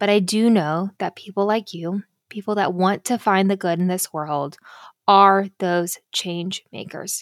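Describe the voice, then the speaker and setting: A woman has a normal speaking voice at medium pitch and a fairly slow pace. The recording is very clean and dry, close with a silent background and no echo. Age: 30s. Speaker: podcast host. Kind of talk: casual monologue.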